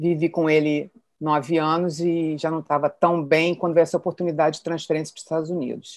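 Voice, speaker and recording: A woman's very deep, low voice, monotone and flat, against a quiet background. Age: 60s. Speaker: retired executive. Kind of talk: personal testimony.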